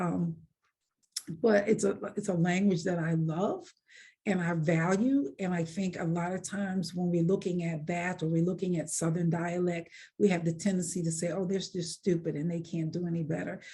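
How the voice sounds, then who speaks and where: At a moderate pace, a woman speaks with a fairly low pitch, a dark, mellow tone, a somewhat breathy quality and monotone, flat intonation. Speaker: author. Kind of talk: interview.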